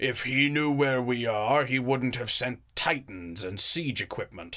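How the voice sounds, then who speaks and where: A raspy, put-on character voice moves at a fairly slow pace against a quiet background. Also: man, medium pitch for a man. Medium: audio drama.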